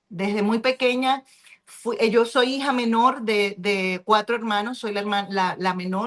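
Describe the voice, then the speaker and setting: An ordinary speaking voice at a fairly slow pace, with fairly even intonation. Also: woman, fairly high pitch for a woman. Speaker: pastor and reading club host. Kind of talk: book club discussion.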